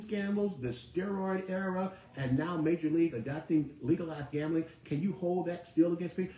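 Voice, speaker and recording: An animated tone with ordinary pitch variation at a moderate pace, over noticeable background noise. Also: man. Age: 60s. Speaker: sports talk host. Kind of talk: live sports talk monologue. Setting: live broadcast studio.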